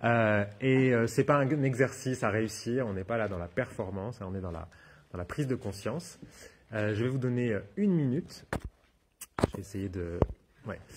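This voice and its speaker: A man with medium pitch and ordinary pitch variation speaks with long, frequent pauses. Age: 40s. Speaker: therapist and trainer giving a talk. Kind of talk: conference talk with audience questions. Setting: stage with audience at a wellness fair. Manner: fast; halting, many repetitions and fillers.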